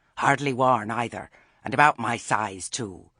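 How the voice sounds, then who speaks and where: A raspy put-on character voice from a man, medium in pitch and moderate in pace. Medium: read story. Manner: falsely sweet.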